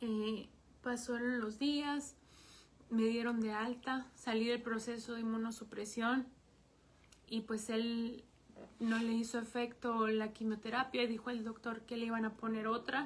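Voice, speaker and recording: Fairly high in pitch and monotone, flat in intonation, a woman talks at a fairly slow pace. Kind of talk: testimony. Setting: livestream broadcast.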